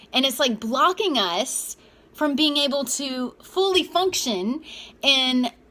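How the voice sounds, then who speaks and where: Her high-pitched voice is bright and sharp, with lively intonation and an animated tone, as this woman speaks. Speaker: self-help vlogger. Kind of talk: casual motivational monologue.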